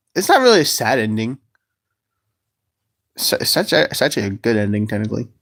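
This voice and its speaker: In a very clean recording with a silent background, a man talks very fast, broken by long, frequent pauses. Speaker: livestreamer, puppet creator. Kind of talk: casual livestream chat. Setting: livestream. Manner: stuttering; halting, rambling.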